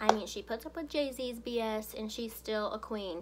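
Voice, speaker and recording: Over noticeable background noise, a woman with fairly high pitch speaks at a moderate pace with lively intonation. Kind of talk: radio host audition, casual talk to camera. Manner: goofy, upbeat.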